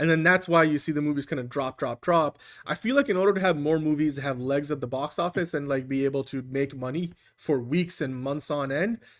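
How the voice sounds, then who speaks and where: A man with a non-native accent and a fairly high pitch talks at a fairly quick pace. His pitch variation is ordinary, and the recording is very clean with a silent background. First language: not English. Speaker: movie podcast host. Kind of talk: casual chat.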